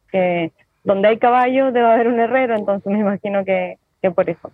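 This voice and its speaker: A woman speaks with a normal speaking voice at a moderate pace. Her pitch variation is ordinary. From Chile (Rengo). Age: 30s. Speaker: farrier. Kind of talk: interview. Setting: phone or video call from an airport.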